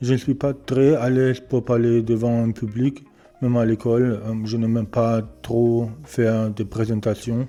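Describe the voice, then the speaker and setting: A man talks at a fairly slow pace with a German accent and a medium pitch. His intonation is monotone and flat. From Germany. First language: German (speaking French). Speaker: beginner electronics repair hobbyist. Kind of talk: channel introduction, casual monologue. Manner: halting, many hesitations.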